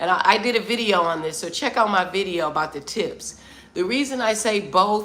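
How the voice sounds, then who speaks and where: With audible room echo around her, a woman talks at a moderate pace in a bright, sharp tone with ordinary pitch variation. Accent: American. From US Midwest, Detroit, Michigan. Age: 50s. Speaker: travel vlogger. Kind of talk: live stream chat with viewers. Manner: animated.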